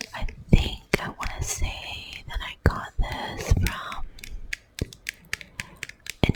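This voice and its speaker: A woman whispers very slowly with long, frequent pauses and big swings in loudness, noticeable background noise behind her. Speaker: ASMR creator. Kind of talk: ASMR whisper talk to camera. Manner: whispered.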